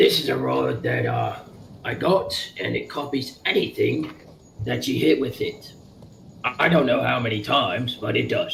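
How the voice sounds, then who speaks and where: Raspy and put-on, a man's character voice moves at a moderate pace with long, frequent pauses. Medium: actual play. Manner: rambling, crude.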